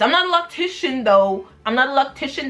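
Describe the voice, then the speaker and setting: Moderate-paced female speech over noticeable background noise. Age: 20s. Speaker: hair vlogger. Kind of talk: casual talk to camera.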